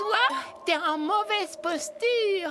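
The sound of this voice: A cartoonish character voice with an extremely high pitch, delivered at a fairly slow pace. Background noise is clearly audible.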